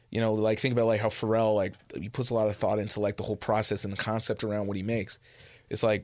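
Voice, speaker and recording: A normal speaking voice from a man, fairly low in pitch with fairly even intonation, on a very clean recording with a silent background. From Edmonton, western Canada. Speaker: rapper. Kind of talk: interview.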